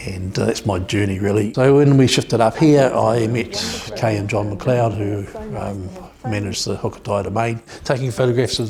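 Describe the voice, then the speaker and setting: There is noticeable background noise as a man with a New Zealand accent speaks in a fairly low pitch. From New Zealand South Island, Dunedin. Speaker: photographer. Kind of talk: documentary interview.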